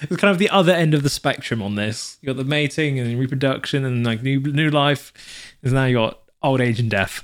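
Speaking with a British accent, a man has a medium pitch. His pitch varies in an ordinary way. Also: fairly quick pace, very clean recording, silent background. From UK. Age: 20s. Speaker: podcast co-host. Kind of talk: reading aloud; casual chat.

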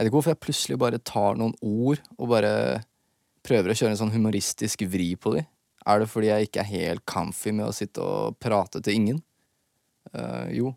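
A man with an unremarkable speaking voice talks at a fairly quick pace with a fairly low pitch. The recording is very clean, dry and close, with no echo and a silent background. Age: 20s. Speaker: rapper and podcast host. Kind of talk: casual solo podcast monologue. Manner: relaxed, rambling.

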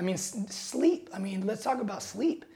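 A man with an American accent, dark and mellow in tone, at a fairly quick pace, with audible room echo. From Seattle, US Pacific Northwest. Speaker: NBA strength and conditioning coach. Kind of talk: casual interview.

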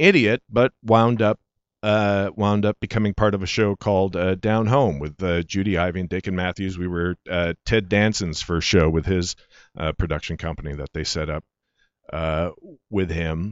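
This man's voice is fairly low and shows ordinary pitch variation as he talks at a moderate pace. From Michigan, later Calgary, Canada. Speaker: actor. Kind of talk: casual interview chat. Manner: halting, many fillers and restarts.

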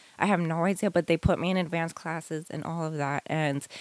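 A woman with a New York accent speaks fairly quickly at a fairly low pitch. The very clean recording is dry and close, with no echo and a silent background. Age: 30s. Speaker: homeschooling mother. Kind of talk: casual interview.

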